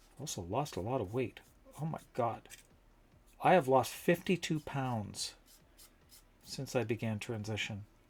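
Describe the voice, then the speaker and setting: Speaking at a fairly slow pace with long, frequent pauses, a man uses a medium pitch and lively intonation, his voice somewhat breathy. The recording is very clean, with a silent background. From Canada, London, Ontario. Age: 50s. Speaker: streamer and prop maker. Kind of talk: casual livestream chat while crafting.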